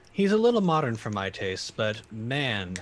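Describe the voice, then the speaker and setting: A man adopts a put-on character voice and moves at a moderate pace. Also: medium pitch for a man. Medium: actual play. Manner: dry, understated.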